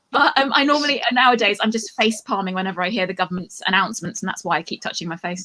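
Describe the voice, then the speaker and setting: A woman with an English accent races along at a very fast pace, her medium-pitched voice lively in intonation and hardly pausing. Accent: bland English accent, from Cambridge. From England, Cambridge. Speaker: comedian. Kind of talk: stand-up.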